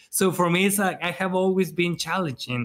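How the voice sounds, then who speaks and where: A man speaks with a Spanish accent at a moderate pace. His pitch sits high for a man. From Mexico. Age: 40s. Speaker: wedding photographer and educator. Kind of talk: casual chat. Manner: animated, energetic.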